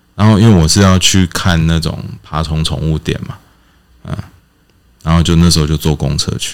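A man with a Taiwanese accent talks at a moderate pace in a very deep, low pitch. His intonation stays fairly even, broken by long, frequent pauses. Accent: Taiwanese Mandarin. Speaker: podcast host. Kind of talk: casual chat.

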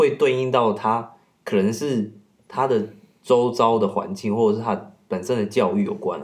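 A man with an ordinary speaking voice, medium pitch, ordinary pitch variation, and a moderate pace. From Taiwan, Kaohsiung. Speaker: podcast guest. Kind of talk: casual chat.

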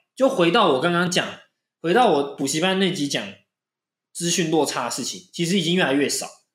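A high-pitched man speaks at a fairly quick pace with lively intonation, leaving long, frequent pauses. Audible room echo surrounds his voice. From Penghu, Taiwan. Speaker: podcast host. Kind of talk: casual chat.

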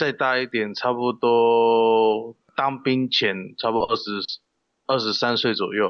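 A man speaks in a monotone, flat voice at medium pitch. His pace is fairly slow. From Taiwan, Kaohsiung. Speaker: professional wrestler. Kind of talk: interview. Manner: halting; shy.

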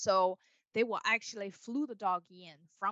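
In a Chinese accent, a woman speaks at a moderate pace with a bright, sharp tone and ordinary pitch variation, in a dry, close recording with no echo. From China, Beijing. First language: Mandarin Chinese. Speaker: dog trainer. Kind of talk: interview.

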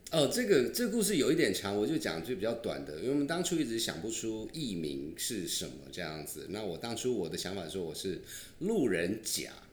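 A man with a slight southern Taiwanese accent talks at a fairly quick pace, with vocal fry and very wide pitch swings. Audible room echo is present. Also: medium pitch for a man, hardly any pauses. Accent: slight Tainan Taiwanese. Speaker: podcast host. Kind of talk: casual chat.

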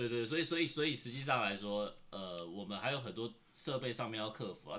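With lively intonation and a bright, sharp tone, a man at medium pitch speaks at a fairly quick pace. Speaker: podcast co-host. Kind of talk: casual chat while eating. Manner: quiet voice.

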